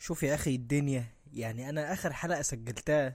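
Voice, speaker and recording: A man speaks with an Egyptian accent at a moderate pace, his pitch fairly high and his tone animated. The recording is very clean, with a silent background. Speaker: podcast host. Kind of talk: casual monologue.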